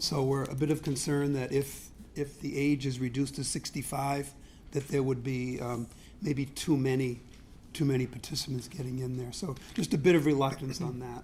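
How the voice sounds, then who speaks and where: Room echo can be heard around a man speaking at a moderate pace. His medium-pitched voice is somewhat breathy and monotone, with flat intonation. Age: 70s. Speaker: resident speaking at public hearing. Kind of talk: public comment at city council meeting. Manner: halting.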